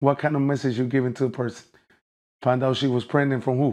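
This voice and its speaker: A man with a Puerto Rican accent at a fairly quick pace. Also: quiet background. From Puerto Rico, raised in North Philadelphia. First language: Spanish. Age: 40s. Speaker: celebrity boxer. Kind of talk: casual interview. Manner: animated.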